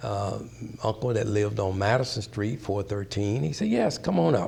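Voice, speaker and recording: With an American accent, a man speaks at a fairly low pitch with ordinary pitch variation, and the room echo is audible. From US South, Mississippi. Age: 80s+. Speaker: pastor sharing life story. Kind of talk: oral history interview. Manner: halting, many fillers and restarts.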